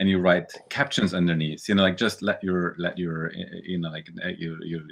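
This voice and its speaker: A man speaks at a moderate pace with fairly even intonation. His pitch is very deep and low. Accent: German. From Germany. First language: German. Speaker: visual artist and novelist. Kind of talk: casual interview. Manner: halting, repeats words.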